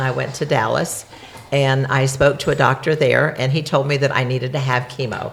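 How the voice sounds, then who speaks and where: At a moderate pace, a woman with a very deep, low pitch speaks over noticeable background noise. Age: 70s. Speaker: cancer survivor, host's mother. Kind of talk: interview.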